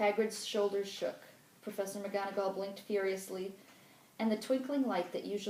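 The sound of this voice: The reading here is done in an unforced voice.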